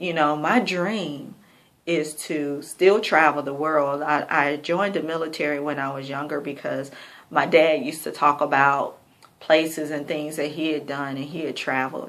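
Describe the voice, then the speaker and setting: A woman's very deep, low voice at a moderate pace, fairly even in intonation, with audible room echo. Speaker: vlogger. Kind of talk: personal video diary. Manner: slightly slurred speech; casual, hesitant.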